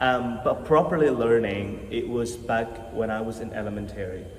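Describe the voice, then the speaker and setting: A man speaks in an Indonesian accent with audible room echo. Noticeable background noise is present. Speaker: university student. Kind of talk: interview. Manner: halting.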